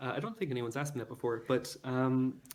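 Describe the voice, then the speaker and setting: A man at a fairly quick pace, his intonation fairly even. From Canada. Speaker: game developer. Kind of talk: interview.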